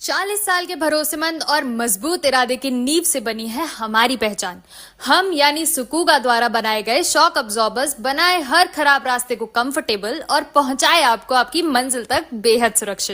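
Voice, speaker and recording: Projecting a raised voice with hardly any pauses, a woman speaks at a high pitch in a bright, sharp, confident tone with lively intonation. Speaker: voice over student. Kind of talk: reading aloud ad script.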